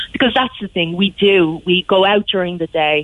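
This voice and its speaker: In a Cork accent, a woman speaks with fairly low pitch and fairly even intonation. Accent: Cork Irish. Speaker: local councillor. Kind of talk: radio interview.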